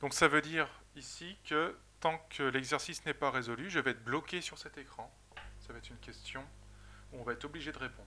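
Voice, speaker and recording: Fairly high for a man, his voice has vocal fry and a bright, sharp tone, with fairly even intonation, a fairly quick pace and long, frequent pauses. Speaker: software trainer. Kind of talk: tutorial.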